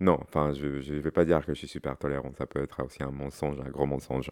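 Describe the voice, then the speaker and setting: The recording is very clean with a silent background, catching a man at a moderate pace in a dry, close sound with no echo. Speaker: interview guest. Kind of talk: casual interview. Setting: at home. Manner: halting, repetitive.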